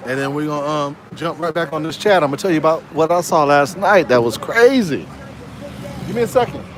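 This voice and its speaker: Over noticeable background noise, a man talks at a fairly quick pace. His voice is fairly high-pitched with lively intonation. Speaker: live streamer. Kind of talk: casual chat. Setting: live stream with Discord chat.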